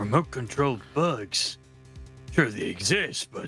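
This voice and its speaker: Clear music plays in the background as a man does a raspy, put-on character voice. His pitch is medium and his pace fairly slow. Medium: game stream.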